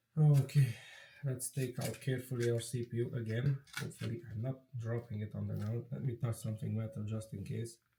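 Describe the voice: Medium-pitched and dark, mellow in tone, a man speaks at a moderate pace with fairly even intonation.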